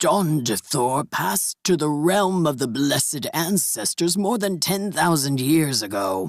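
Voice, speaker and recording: A man puts on a character voice, speaking at a fairly slow pace with a fairly high pitch. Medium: read story. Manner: formal, stiff phrasing.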